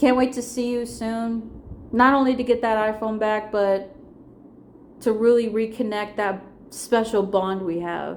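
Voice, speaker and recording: In a room with audible echo, a woman speaks at a fairly high pitch and a fairly slow pace with fairly even intonation. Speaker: vlogger. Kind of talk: personal vlog monologue. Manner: slight stutter.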